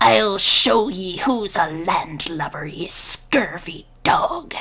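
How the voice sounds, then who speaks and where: In a put-on character voice, a female-sounding voice speaks hoarsely at medium pitch and a very slow pace. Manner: growling, defiant.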